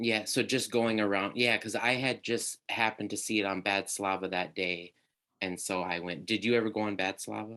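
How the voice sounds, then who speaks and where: In a Minnesota accent, a man speaks at a moderate pace with a fairly low pitch, a bright, sharp tone and fairly even intonation. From Minnesota, US Midwest. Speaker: podcast host. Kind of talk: casual interview chat.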